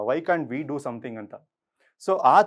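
With an unremarkable speaking voice, a man talks in a fairly high pitch and lively intonation over a quiet background. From Bengaluru, Karnataka. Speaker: corporate trainer and NGO founder. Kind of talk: motivational talk.

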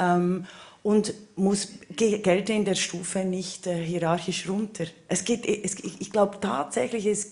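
A woman with a Swiss German accent, at a very slow pace. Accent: Swiss German-accented High German. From Switzerland. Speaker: political scientist panelist. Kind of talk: panel discussion. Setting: stage with audience. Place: stage. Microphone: handheld.

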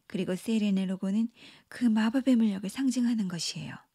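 Dry and close with no echo, this is a woman's somewhat breathy voice. Her tone is dark and mellow, with ordinary pitch variation. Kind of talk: bedtime story telling, narrated fairy tale with character voices. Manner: animated, lightly theatrical, shifting pitch between narrator, pirate, mermaid and witch.

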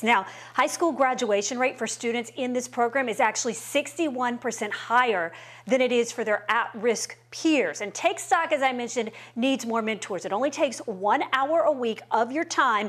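A woman speaks at a moderate pace. Her pitch is high, with ordinary variation. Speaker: TV news reporter. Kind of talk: news report narration. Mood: warm and upbeat. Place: home room. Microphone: lapel.

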